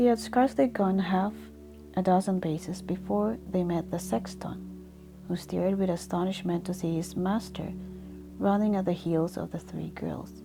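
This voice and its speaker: A soft-spoken woman at a fairly slow pace, with long, frequent pauses and music in the background. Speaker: sleep story reader. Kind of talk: sleep story.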